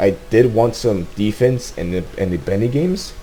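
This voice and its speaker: A man talks with very wide pitch swings. Noticeable background noise can be heard behind him. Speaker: gaming YouTuber. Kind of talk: casual video commentary. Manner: halting, many repetitions; rushed.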